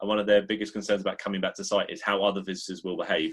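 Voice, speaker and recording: A man with a fairly low pitch talks at a very fast pace. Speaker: museum consultant and workshop presenter. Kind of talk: webinar presentation.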